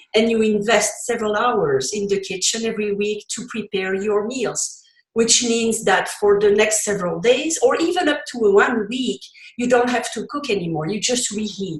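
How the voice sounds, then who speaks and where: A woman in a Belgian accent talks at a fairly high pitch with lively intonation. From Belgium. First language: French. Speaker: cookbook author and recipe developer. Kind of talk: interview.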